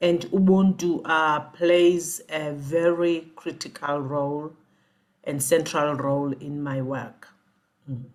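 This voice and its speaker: Very deep and low in pitch, a woman talks with a South African accent. She goes at a very slow pace with fairly even intonation. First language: Xhosa. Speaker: executive coach. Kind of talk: interview.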